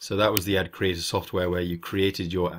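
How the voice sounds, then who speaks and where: Very deep and low, the man's voice stays monotone and flat on a very clean recording with a silent background. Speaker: online marketing video creator. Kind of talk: tutorial. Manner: halting, many fillers and restarts.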